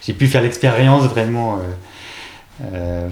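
A man speaks with ordinary pitch variation. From Paris region, France. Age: 30s. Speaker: tech company executive. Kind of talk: interview. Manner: hesitant with fillers.

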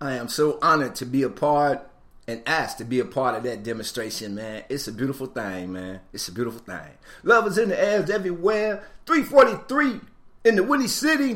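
An animated man's voice, fairly high in pitch, with very wide pitch swings. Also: big swings in loudness. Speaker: radio DJ. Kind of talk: radio DJ patter: rapid-fire shout-outs and hype between tracks. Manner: animated, hyped-up repetition of catchphrases; loose, slangy street-talk banter.

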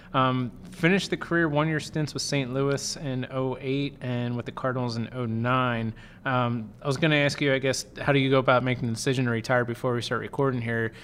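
A man with an American accent has a normal speaking voice at a medium pitch. He talks at a fairly quick pace with fairly even intonation and hardly any pauses. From Lancaster County, Pennsylvania. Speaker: sports reporter and podcast host. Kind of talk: podcast interview.

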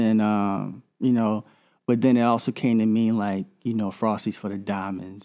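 A man speaks at a moderate pace in a fairly low, dark, mellow voice with monotone, flat intonation. The recording is very clean with a silent background. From US South. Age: 30s. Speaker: radio DJ. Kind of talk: interview.

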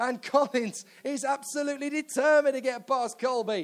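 Sounding animated and excited, a man speaks at an extremely high pitch with ordinary pitch variation. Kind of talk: live race commentary. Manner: animated, fast, excited play-by-play delivery.

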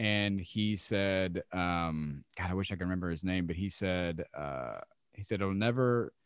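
In an American accent, a man talks in an ordinary speaking voice at a fairly low pitch with ordinary pitch variation. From US Midwest. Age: 30s. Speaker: podcast host and comedian. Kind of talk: casual interview chat.

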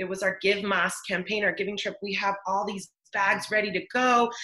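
A woman talks at a moderate pace with a bright, sharp tone. Her delivery is animated. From El Salvador, raised in US. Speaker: clothing brand co-founder. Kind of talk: radio interview.

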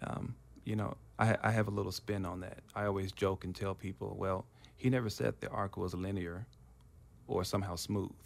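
Over a silent background in a very clean recording, a man with a plain, everyday voice speaks at a fairly low pitch. His pace is moderate and his intonation fairly even. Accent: American. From US South, Memphis, Tennessee. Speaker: pastor. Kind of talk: radio interview.

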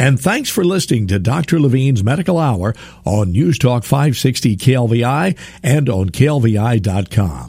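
Very slow and somewhat breathy, a man speaks at a medium pitch with a dark, mellow tone. His pitch swings very widely. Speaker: radio announcer. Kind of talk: scripted promo/intro.

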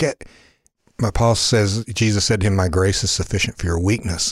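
Fairly low in pitch and somewhat breathy, a man speaks. The recording is very clean, with a silent background and a dry, close sound with no echo. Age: 60s. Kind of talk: casual chat.

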